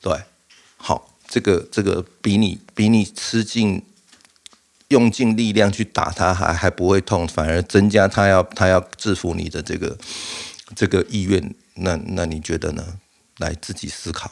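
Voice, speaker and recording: A man speaks at a very deep, low pitch with fairly even intonation. His pauses are long and frequent. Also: fairly slow pace. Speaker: podcast host. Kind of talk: casual monologue. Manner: halting, frequent fillers and repeats.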